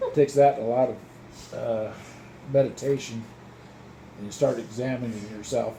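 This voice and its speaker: A man speaks at medium pitch and a moderate pace. There is audible room echo. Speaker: grandfather. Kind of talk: casual chat. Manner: calm.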